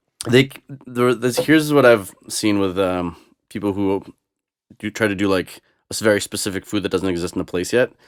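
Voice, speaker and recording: In a Boston accent, a man with a fairly low pitch speaks with long, frequent pauses on a very clean recording with a silent background. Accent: American (Boston area). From US Northeast (Boston), born in Moscow. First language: Russian. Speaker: DJ. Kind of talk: casual chat.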